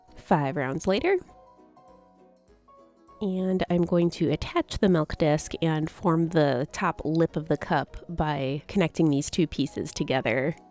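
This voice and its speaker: Music sits in the background as a woman with an American accent speaks at a fairly slow pace. Her voice is very deep and low, with ordinary pitch variation. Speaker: crochet crafter. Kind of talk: casual crafting voiceover.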